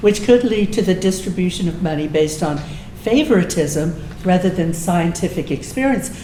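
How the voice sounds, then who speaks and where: A woman with an American accent speaks at a moderate pace in a medium pitch with ordinary pitch variation, with audible room echo and noticeable background noise. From Texas, Austin. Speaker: political club speaker, retired music teacher. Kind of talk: informal talk to local club with discussion.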